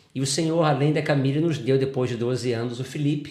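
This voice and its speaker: The room echo is audible around the man. His pace is moderate. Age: 40s. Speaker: pastor and psychologist. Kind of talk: interview testimony.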